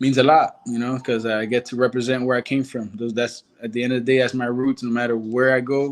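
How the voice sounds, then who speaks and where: Speaking fairly quickly with hardly any pauses, a man with a Spanish accent keeps a medium pitch in a monotone, flat delivery. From Nicaragua. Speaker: karate fighter. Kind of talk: interview.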